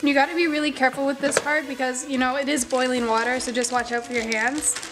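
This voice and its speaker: Music plays behind a woman with a high pitch. She speaks at a fairly quick pace with ordinary pitch variation. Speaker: makeup artist. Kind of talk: casual tutorial talk to camera.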